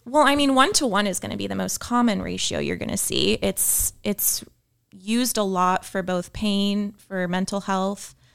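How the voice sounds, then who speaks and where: The recording is very clean and the background silent. A woman talks at an even, moderate speed. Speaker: physician. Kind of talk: casual chat.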